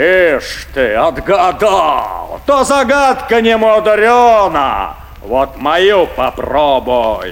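A man's put-on character voice, fairly high with very wide pitch swings, at a very slow pace with few pauses over faint background noise.

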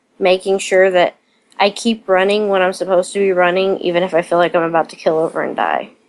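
Talking at a fairly quick pace, this woman has a medium pitch. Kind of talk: casual interview chat. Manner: hesitant, filler words.

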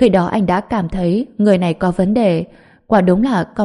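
Just plain reading aloud, nothing more

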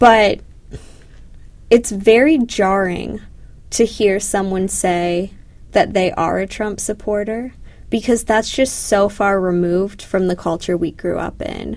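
A woman speaks at a fairly slow pace with a Canadian accent, her pitch medium with ordinary variation. She takes long, frequent pauses. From Toronto, Ontario. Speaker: graduate student. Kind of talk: casual chat.

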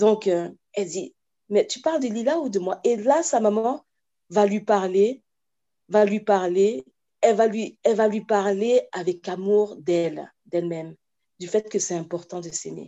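Lively intonation runs through a woman's medium-pitched voice as she speaks at a fairly slow pace. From France, then Cameroon from age 8. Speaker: children's author and watercolourist. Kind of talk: interview. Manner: halting, many repetitions.

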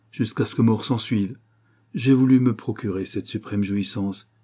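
The reading voice sounds natural. Pitch rises and falls in an ordinary way.

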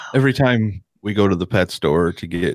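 This man has a fairly low pitch with vocal fry. The sound is dry and close with no echo, on a very clean recording with a silent background. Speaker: podcast co-host and audio board operator. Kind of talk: casual banter reading news stories.

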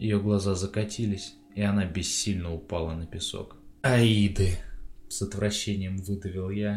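The words are read out without embellishment. It is plain reading aloud.

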